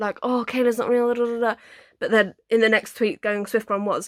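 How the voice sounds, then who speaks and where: The sound is dry and close with no echo. A woman talks at a moderate pace. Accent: English. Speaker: YouTuber. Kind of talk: casual chat. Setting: bedroom. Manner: halting.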